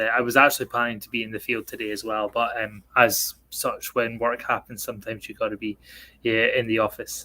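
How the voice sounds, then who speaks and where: With a bright, sharp tone, a man talks at a fairly quick pace and medium pitch. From northeast Scotland, rural. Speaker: racing game driver. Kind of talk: casual chat. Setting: office, streamed call. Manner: halting, many fillers.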